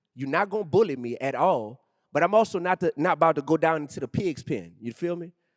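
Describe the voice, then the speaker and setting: In a New Orleans accent, the speaker races along at a very fast pace with lively intonation, recorded very cleanly against a silent background with a dry, close sound and no echo. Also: man, fairly high pitch for a man. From New Orleans, Louisiana, US South. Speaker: rapper and educator. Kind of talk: on-stage interview. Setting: stage with audience. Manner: animated.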